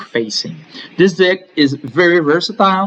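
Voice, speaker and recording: A man is speaking. He talks with a French Canadian accent. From Quebec. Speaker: gaming YouTuber. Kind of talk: game tutorial.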